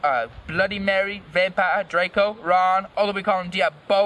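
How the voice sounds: A natural reading voice delivers the passage.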